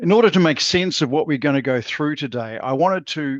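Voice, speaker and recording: The speaker has a New Zealand accent and a moderate pace. Pitch variation is ordinary. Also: man. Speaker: channel partnerships manager. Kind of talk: webinar presentation. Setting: video call.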